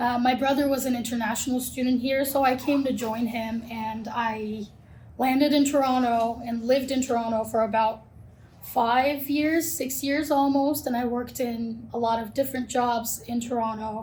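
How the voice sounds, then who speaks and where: Her intonation is monotone and flat, with a high pitch for a woman. Room echo can be heard. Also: moderate pace. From Turkey. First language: Turkish. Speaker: college recruitment manager. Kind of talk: podcast interview.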